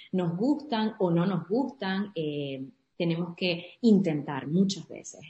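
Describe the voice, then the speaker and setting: Somewhat breathy, this voice carries a dark, mellow tone. The pitch moves in an ordinary way. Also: woman. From Venezuela, Andes (Trujillo state). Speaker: entrepreneur and community founder. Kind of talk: interview.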